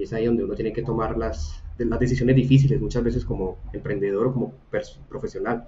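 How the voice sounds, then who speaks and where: Very fast speech carries ordinary pitch variation. Underneath, background noise is noticeable. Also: man, medium pitch for a man. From Colombia, Buga (Valle del Cauca). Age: 30s. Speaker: design academy co-founder and product manager. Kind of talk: casual interview chat.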